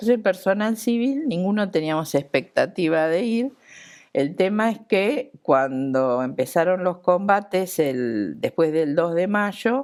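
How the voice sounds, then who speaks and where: On a very clean recording with a silent background, a woman speaks fairly slowly at a medium pitch with very wide pitch swings. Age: 60s. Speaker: Falklands war veteran, surgical instrument nurse. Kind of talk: TV interview testimony.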